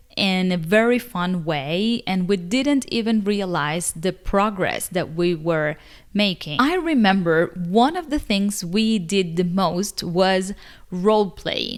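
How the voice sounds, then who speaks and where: A woman with a Spanish accent, medium pitch, ordinary pitch variation and a very slow pace. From Cuba. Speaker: English teacher, video creator. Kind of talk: casual vlog talk to camera.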